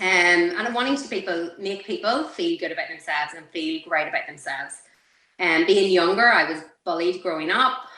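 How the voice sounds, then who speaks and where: With an Irish accent, a woman talks at a fairly quick pace in a medium pitch, her intonation lively and her loudness swinging widely. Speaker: beauty clinic owner and coach. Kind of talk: interview.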